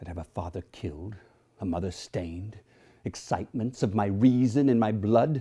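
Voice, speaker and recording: A man with a fairly low pitch and a somewhat breathy voice talks at a moderate pace with ordinary pitch variation. His loudness swings widely, long pauses come often, and the background is quiet. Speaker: actor. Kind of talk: hamlet soliloquy performance. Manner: dramatic, declamatory delivery. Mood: intense, brooding. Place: home room.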